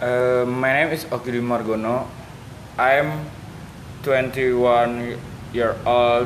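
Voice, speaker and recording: Over noticeable background noise, a man at medium pitch talks at a very slow pace with ordinary pitch variation and long, frequent pauses. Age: 20s. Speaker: student in mock job interview. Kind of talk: role-play job interview. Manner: halting.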